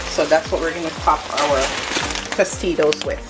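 At a moderate pace, the speaker talks over faint music in the background. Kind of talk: tutorial. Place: kitchen. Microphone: phone near.

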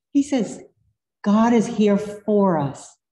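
Audible room echo surrounds a woman's dark, mellow tone as she speaks with an American accent. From US South. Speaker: pastor. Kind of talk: sermon. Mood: warm, earnest. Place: church. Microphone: podium.

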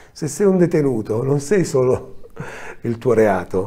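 A man with a dark, mellow tone and very wide pitch swings. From Calabria, Italy. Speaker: film director. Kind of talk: interview. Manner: hesitant, with frequent fillers. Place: studio.

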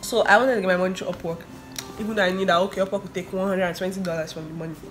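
Clear music plays in the background. Over it, a woman speaks with a fairly low pitch. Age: 20s. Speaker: freelancer; vlogger. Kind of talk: casual storytime talk to camera. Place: home room. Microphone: phone near.

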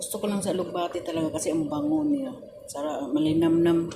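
A woman's fairly low voice with very wide pitch swings at a moderate pace, amid audible room echo and noticeable background noise. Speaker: vlogger, overseas worker. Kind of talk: cooking vlog. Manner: halting, stammering.

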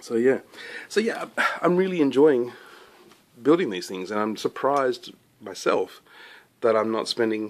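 A man with an Australian accent keeps to a moderate pace. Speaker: scale model maker and YouTuber. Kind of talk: casual show-and-tell vlog. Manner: relaxed, with frequent fillers. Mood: relaxed, enthusiastic. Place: workshop. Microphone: phone near.

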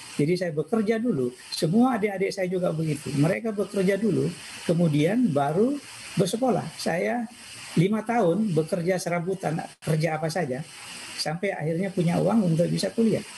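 A man's high voice with lively intonation at a fairly quick pace, over light background noise. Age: 60s. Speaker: information systems professor. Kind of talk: personal life talk. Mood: calm, reflective. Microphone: video call.

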